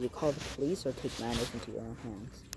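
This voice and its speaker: Noticeable background noise sits behind the speech. A man talks very quickly over it. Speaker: vlogger. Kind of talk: casual monologue to camera. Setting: outdoors at night. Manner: halting, filler-heavy; speaking fairly loud.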